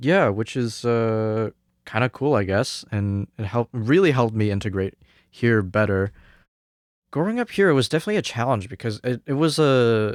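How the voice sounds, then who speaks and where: A man speaks in a Cantonese accent at a medium pitch and moderate pace, with ordinary pitch variation. The recording is very clean, with a silent background and a dry, close sound with no echo. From Hong Kong, moved to Canada at nine. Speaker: jazz trumpet student. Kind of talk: interview podcast. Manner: hesitant, many fillers.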